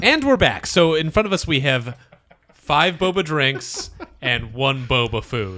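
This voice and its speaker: A man with a normal speaking voice and a fairly high pitch talks at a fairly slow pace. His intonation is lively. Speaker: podcast host. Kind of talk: casual banter. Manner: joking, playful.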